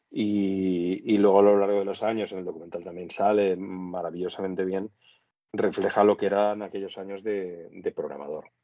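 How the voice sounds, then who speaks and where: A man with a fairly low pitch delivers his words in a monotone, flat intonation, keeping a moderate pace. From Catalonia, Spain (Sitges / Tarragona area). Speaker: former radio host. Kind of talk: casual interview.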